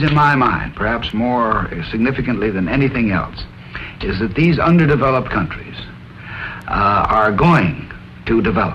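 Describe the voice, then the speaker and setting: A man at a moderate pace with very wide pitch swings over music in the background. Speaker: presidential candidate. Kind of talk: scripted political discussion. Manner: hesitant, many filler sounds.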